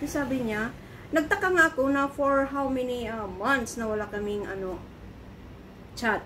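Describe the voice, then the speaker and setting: A woman talks at a high pitch. Light background noise runs behind her. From Philippines. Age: 50s. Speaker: vlogger. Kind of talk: casual vlog storytelling. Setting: in her apartment. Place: home room. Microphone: phone near.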